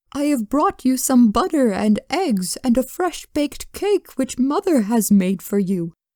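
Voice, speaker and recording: Putting on a character voice, a woman speaks at a moderate pace in a high pitch, with hardly any pauses. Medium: read story. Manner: sly.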